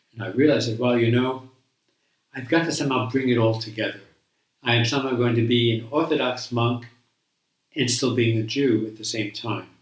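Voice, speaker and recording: With audible room echo, a man with an American accent talks at a fairly quick pace, using fairly even intonation and long, frequent pauses. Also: medium pitch for a man. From New York. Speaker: Buddhist monk. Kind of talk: interview, life story. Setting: sitting together in person. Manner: halting, many fillers.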